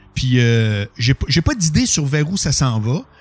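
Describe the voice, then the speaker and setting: Speaking in a Quebec accent, a man uses a fairly high pitch, lively intonation and an animated tone at a fairly slow pace. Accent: Québécois French. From Quebec City, Quebec. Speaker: radio and TV personality. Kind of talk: casual chat. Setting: studio. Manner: animated, flamboyant delivery.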